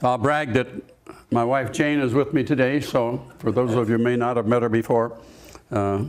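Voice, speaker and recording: A man speaks at a moderate pace with fairly even intonation over noticeable background noise. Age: 80s+. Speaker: service club member. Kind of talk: interview.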